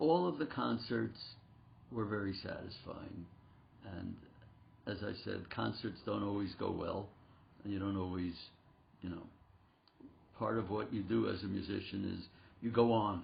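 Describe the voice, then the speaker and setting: With vocal fry and ordinary pitch variation, the fairly slow speech is broken by long, frequent pauses and carries audible room echo. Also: man. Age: 80s+. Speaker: concert pianist and piano teacher. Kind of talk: interview.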